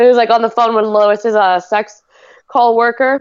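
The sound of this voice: A woman speaks at a moderate pace with a fairly high pitch. Her intonation stays fairly even, and her tone is clear and smooth.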